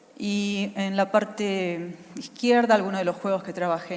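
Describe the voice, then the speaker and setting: In an Argentine accent, a woman speaks at a fairly slow pace with fairly even intonation amid audible room echo. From Argentina. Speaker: UX consultant, conference speaker. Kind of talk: conference talk. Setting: stage with audience.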